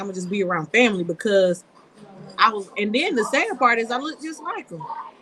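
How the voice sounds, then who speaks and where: Against noticeable background noise, a woman with a fairly high pitch talks fairly quickly, her pitch swinging very widely. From US South, rural Georgia (Coffee County, Douglas). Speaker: local political candidate. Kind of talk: testimony in a live-stream chat. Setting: live stream.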